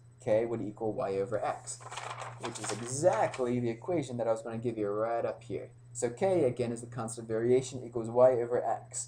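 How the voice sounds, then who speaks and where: A man talks at a fairly quick pace with a medium pitch and fairly even intonation. Noticeable background noise and audible room echo fill the recording. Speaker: pre-algebra teacher. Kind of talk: lecture. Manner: hesitant, many fillers.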